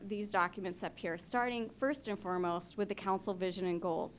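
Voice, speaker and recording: The speaker is a woman with a medium pitch. Her pitch varies in an ordinary way. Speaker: city staff presenter. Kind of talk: presentation to city council. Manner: fast.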